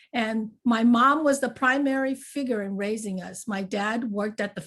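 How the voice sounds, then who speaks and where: A woman's somewhat breathy voice with ordinary pitch variation, on a very clean recording with a silent background. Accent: Chinese. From US, raised in a Chinatown. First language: Chinese. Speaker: panel speaker. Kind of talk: personal storytelling at a panel talk. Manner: conversational, many fillers.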